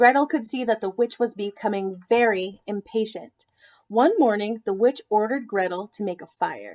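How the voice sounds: Quiet background behind a natural reading voice of ordinary pitch variation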